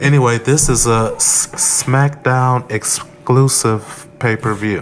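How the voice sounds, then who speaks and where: At a very slow pace, a man speaks with fairly even intonation over noticeable background noise. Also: medium pitch for a man. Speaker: wrestling podcast co-host. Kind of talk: casual chat.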